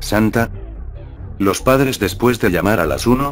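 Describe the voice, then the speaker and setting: Background noise is noticeable here. A man's speech proceeds at a moderate pace. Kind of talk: ghost story narration, creepypasta read aloud.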